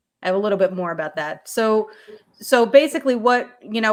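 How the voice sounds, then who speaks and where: A woman's voice at a fairly high pitch. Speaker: amateur radio emergency group presenter. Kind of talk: presentation. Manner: fast; halting.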